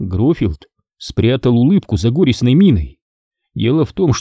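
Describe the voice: The clip is plain reading aloud, with little sound behind it and a quiet background.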